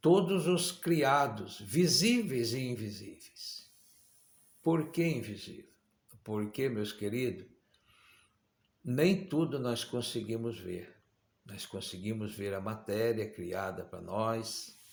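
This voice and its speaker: With audible room echo, a man at medium pitch speaks at a very slow pace, using lively intonation and long, frequent pauses. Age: 60s. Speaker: preacher. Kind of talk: sermon.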